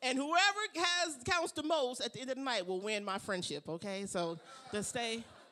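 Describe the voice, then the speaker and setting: An animated tone at a moderate pace over noticeable background noise. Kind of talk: stand-up comedy set, playing the crowd like a club comic. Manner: animated, bantering with the audience, punchy jokes, crowd-work energy.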